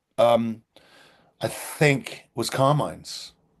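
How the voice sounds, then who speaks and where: The background is quiet. A man talks at medium pitch. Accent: British. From Britain. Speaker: theatre director. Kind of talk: interview.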